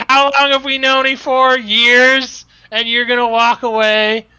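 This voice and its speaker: A put-on character voice, fairly high and monotone with flat intonation, at a fairly slow pace on a very clean recording with a silent background. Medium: actual play. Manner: overfamiliar, blustering.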